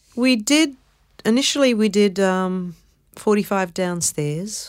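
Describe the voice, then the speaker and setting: A woman with an Australian accent, fairly slow in pace, with ordinary pitch variation, on a very clean recording against a silent background. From Melbourne, Australia. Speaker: actress and singer. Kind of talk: interview. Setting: studio.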